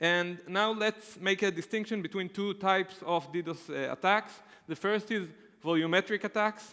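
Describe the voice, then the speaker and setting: At a moderate pace, a man uses a raised, projected voice that is high-pitched, with a bright, sharp tone. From Israel. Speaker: conference speaker. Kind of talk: technical conference talk. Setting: stage with audience. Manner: hesitant, many filler uhs.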